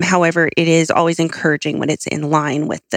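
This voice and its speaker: A woman with an American accent talks at a moderate pace in a fairly low pitch. The sound is dry and close with no echo, and it is an unremarkable speaking voice. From Southern California. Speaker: consumer research head at a retail trade group. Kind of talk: interview about retail research data.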